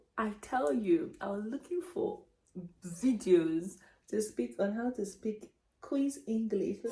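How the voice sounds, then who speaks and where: At a very slow pace, a woman with a fairly high pitch and a dark, mellow tone sounds somewhat breathy as her pitch swings very widely. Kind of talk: casual story time talk to camera. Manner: chatty, hesitant with fillers.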